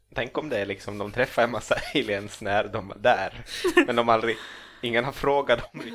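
Male speech, medium in pitch and fairly even in intonation, at a moderate pace amid noticeable background noise. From Finland, Ostrobothnia (Swedish-speaking). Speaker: comedian and author. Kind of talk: casual chat. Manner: halting, many repeated words.

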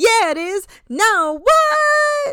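A put-on character voice at an extremely high pitch, full of very wide pitch swings

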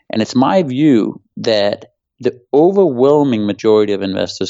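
A man with a Danish accent at a moderate pace. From Denmark. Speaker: former hedge fund manager. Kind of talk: interview.

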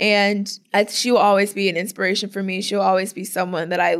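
Someone with a plain, everyday voice and an American accent speaks at a moderate pace. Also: woman. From Florida, US. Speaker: professional softball player. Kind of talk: interview.

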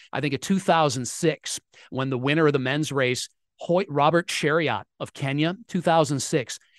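A man's fairly high, a normal speaking voice at a fairly slow pace, dry and close with no echo, over a quiet background. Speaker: sports radio reporter. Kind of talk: interview.

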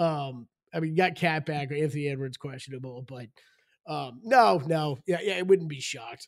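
A man with a normal speaking voice talks at a moderate pace, his pitch fairly high with ordinary variation and big swings in loudness. The recording is very clean, with a silent background. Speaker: podcast host. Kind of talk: casual sports betting chat.

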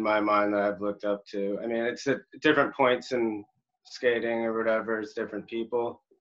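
A man's medium-pitched voice with an American accent, monotone and flat in intonation. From Miami, Florida. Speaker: professional rollerblader. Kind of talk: casual chat.

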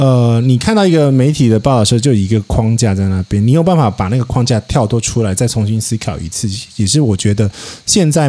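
The man talks with ordinary pitch variation at a medium pitch and a moderate pace. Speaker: podcaster. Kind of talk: casual chat. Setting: outdoors at a hillside teahouse.

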